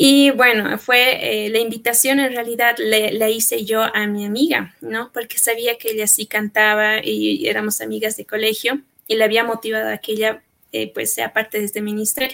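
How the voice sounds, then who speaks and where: A woman speaks with a bright, sharp tone at a fairly high pitch. Her pace is moderate and her intonation fairly even. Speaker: church choir singer. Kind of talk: testimony.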